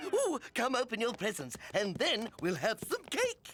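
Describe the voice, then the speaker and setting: Here is a cartoonish character voice with a fairly high pitch. It moves at a moderate pace. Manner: bubbly, excited.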